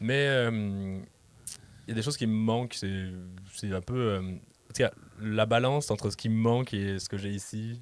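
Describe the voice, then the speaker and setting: A man with a slight Quebec accent speaks in a fairly low pitch with fairly even intonation, leaving long, frequent pauses. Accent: French, slightly tinged Québécois. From France, Lyon. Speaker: podcast guest, digital creation student. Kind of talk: casual chat. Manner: fast.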